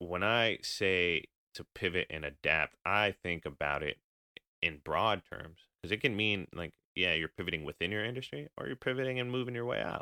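A man's very deep, low voice with an American accent, lively intonation and a moderate pace. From California, US West Coast. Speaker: podcast host, bartender. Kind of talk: casual chat.

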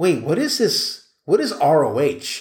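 On a very clean recording with a silent background, a somewhat breathy man speaks with lively intonation. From US Northeast (New York City). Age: 40s. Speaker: podcast host, journalist and PR professional. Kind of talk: casual solo monologue. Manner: rambling, halting with fillers.

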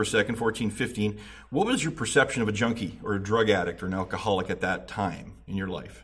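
A somewhat breathy man at a fairly quick pace. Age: 40s. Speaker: recovery podcast host. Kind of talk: interview.

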